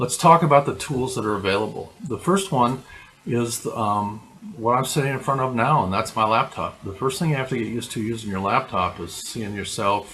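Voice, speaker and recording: A man talks with lively intonation. Noticeable background noise runs underneath. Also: medium pitch for a man, moderate pace. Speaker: video blogging coach. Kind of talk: vlog tutorial. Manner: halting, many fillers. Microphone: laptop.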